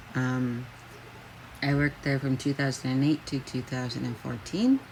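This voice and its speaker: Her pitch is very deep and low, and her intonation is monotone and flat. This woman keeps a moderate pace. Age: 30s. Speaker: job seeker. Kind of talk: self-introduction video. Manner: halting, many fillers.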